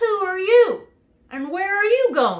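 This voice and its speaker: A squeaky, put-on character voice with lively intonation. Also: woman. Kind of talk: bedtime story. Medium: read story.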